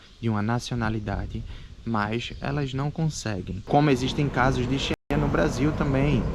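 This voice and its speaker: There is noticeable background noise. A man speaks at a medium pitch with ordinary pitch variation. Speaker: immigrant vlogger. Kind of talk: casual chat.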